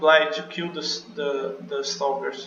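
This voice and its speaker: The speaker has a non-native accent and talks at a fairly slow pace over noticeable background noise. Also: man. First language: not English. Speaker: game level designer. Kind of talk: developer commentary over gameplay. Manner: casual, hesitant.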